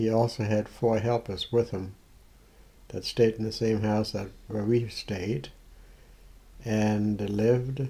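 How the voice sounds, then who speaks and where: A man speaks very slowly in a dark, mellow, somewhat breathy voice with a fairly low pitch. His intonation is fairly even, and he takes long, frequent pauses. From Germany (Mecklenburg). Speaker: grandfather telling his life story. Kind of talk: oral history recollection. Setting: home recording with granddaughter. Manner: halting.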